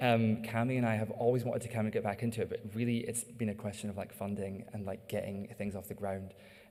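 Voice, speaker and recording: Over noticeable background noise, a man talks at a fairly quick pace and medium pitch in a monotone, flat delivery. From Scotland. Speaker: artist-designer presenting research. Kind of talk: audience Q&A. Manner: halting, many fillers.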